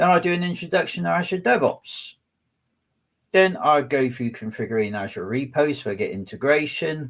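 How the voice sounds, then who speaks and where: Delivered at a moderate pace in a West Country accent, the speech has very wide pitch swings. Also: man, fairly high pitch for a man. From southwest England. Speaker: data engineering manager and tech speaker. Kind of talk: webinar presentation. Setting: online webinar.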